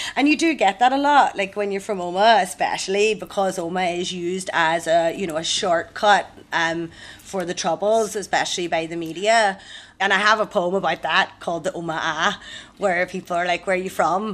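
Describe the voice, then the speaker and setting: In a Tyrone accent, a woman speaks at a moderate pace with a medium pitch and ordinary pitch variation. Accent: Northern Irish, Tyrone. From Omagh, Co. Tyrone. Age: 30s. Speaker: comedy MC and poet. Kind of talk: casual interview.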